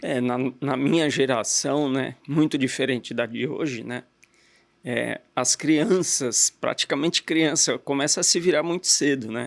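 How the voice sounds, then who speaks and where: A man at a fairly slow pace, an ordinary speaking voice, fairly high in pitch, with ordinary pitch variation. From Brazil, Guarulhos (São Paulo area). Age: 50s. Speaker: entrepreneur, car dealer. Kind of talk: interview.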